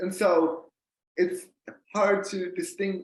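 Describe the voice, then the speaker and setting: The man speaks at a high pitch. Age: 20s. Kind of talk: interview. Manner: halting.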